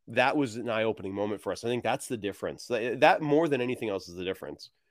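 Speaking in a plain, everyday voice, a man keeps a medium pitch. His intonation is lively. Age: 40s. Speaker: game designer and writer. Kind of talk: casual interview. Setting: video call on laptop, same room as co-guests.

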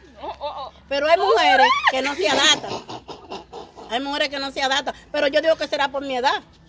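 A woman talks at a fairly quick pace in a high pitch. Noticeable background noise can be heard. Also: ordinary pitch variation. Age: 50s. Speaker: radio show guest, married woman. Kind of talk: casual chat. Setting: outdoors on the street.

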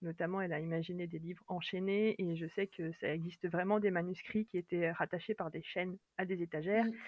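Speaking fairly quickly with hardly any pauses, a woman keeps a fairly low pitch and monotone, flat intonation. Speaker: librarian and fantasy author. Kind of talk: casual interview chat.

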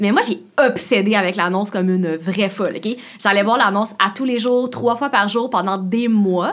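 A woman with a plain, everyday voice talks at a moderate pace, her medium pitch moving with ordinary variation. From Quebec, Laval. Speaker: YouTuber and content creator. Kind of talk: casual interview chat.

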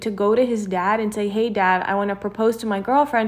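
A woman talks at a fairly quick pace. She uses an ordinary speaking voice. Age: 20s. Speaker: podcast co-host. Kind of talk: casual chat.

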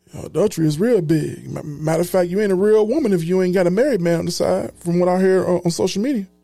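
Music plays in the background. A man talks at a high pitch with ordinary pitch variation. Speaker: podcast host. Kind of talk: podcast recap with commentary; rally-style preaching, call-and-response. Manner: animated, emphatic, crowd-rousing, repeating lines with force; informal, conversational.

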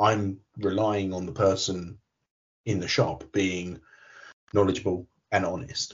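Speaking at a fairly slow pace with long, frequent pauses, a man uses a very deep, low, somewhat breathy voice and monotone, flat intonation. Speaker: podcast co-host. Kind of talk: casual chat.

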